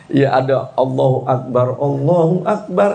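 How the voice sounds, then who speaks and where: Over noticeable background noise and audible room echo, a man talks with fairly high pitch. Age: 60s. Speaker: Islamic preacher. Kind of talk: sermon. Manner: animated.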